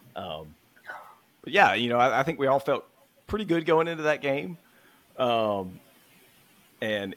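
Pausing long and often, a man with a Southern US accent speaks fairly slowly at a medium pitch with very wide pitch swings. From US South, Mississippi. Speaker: football podcast co-host. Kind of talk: casual chat.

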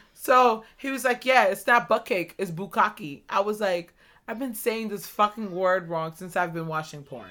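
At a moderate pace, a woman speaks with a medium pitch, a bright, sharp tone and ordinary pitch variation.

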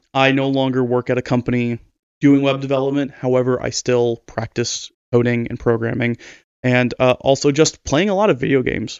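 A man talks at a fairly quick pace with an American accent, his pitch medium. His intonation is fairly even, in a plain, everyday voice. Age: 20s. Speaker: podcast co-host. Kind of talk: casual chat.

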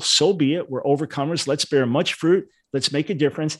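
A man's unremarkable speaking voice, fairly high in pitch with ordinary variation, at a fairly quick pace against a quiet background. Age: 60s. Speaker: Bible scholar and ministry leader. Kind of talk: interview discussing theology.

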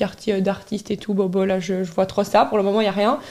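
Speaking very fast, a woman rushes through her words. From Belgium, Charleroi. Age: 20s. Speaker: city blogger and influencer. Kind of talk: casual interview.

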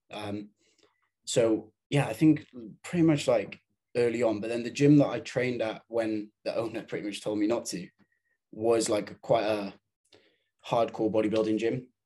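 A man with a British accent, medium pitch and a dark, mellow tone, at a moderate pace with fairly even intonation and long, frequent pauses. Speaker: bodybuilder and fitness coach. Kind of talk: interview. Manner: hesitant, many fillers.

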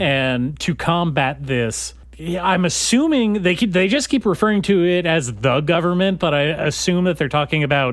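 A man with a fairly high pitch uses an ordinary speaking voice with ordinary pitch variation at a moderate pace. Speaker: podcast host. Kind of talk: casual comedic banter. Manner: joking, laughs often.

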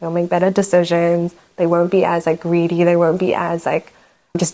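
A woman with a New Zealand accent, a fairly low pitch and a dark, mellow tone, at a fairly quick pace. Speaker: fragrance brand founder. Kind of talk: casual interview.

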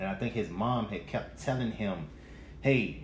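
With audible room echo around him, a man speaks at medium pitch with ordinary pitch variation. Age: 40s. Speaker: podcast co-host. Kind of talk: casual chat. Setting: live stream.

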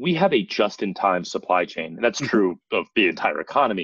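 A man with an American accent speaks at a moderate pace. The sound is dry and close with no echo. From New Jersey, US. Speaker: industry association executive. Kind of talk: interview conversation. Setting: video call.

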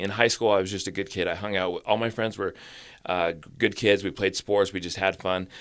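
An ordinary speaking voice with fairly even intonation, on a very clean recording with a silent background. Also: man. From Utah, US (Orem, Springville). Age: 40s. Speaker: recovering addict sharing his story. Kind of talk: personal testimony interview.

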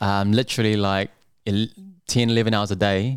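Fairly low in pitch, a man with a New Zealand accent speaks fairly quickly in a monotone, flat delivery. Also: very clean recording, silent background. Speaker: restaurant owner. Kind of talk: casual chat.

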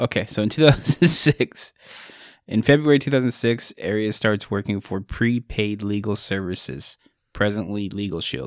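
On a very clean recording with a silent background and a dry, close sound with no echo, a man with an unremarkable speaking voice, fairly low in pitch, talks at a moderate pace with lively intonation. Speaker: podcast host. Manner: laughing, casual.

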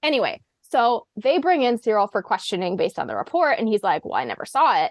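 A woman with an American accent at a very fast pace. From US Pacific Northwest. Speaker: medical student and former student athlete. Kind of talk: casual podcast discussion.

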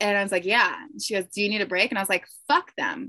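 Bright, sharp tone from a woman at medium pitch. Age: 30s. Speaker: yacht crew member and reality TV cast member. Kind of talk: casual chat.

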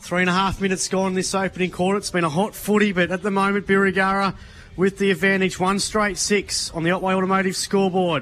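The delivery is monotone and flat, in an Australian accent. The pace is very fast. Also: man, high pitch for a man. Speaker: football commentator. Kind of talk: live commentary.

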